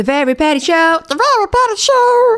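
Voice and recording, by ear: In a put-on character voice at an extremely high pitch, the speaker goes at a moderate pace with very wide pitch swings.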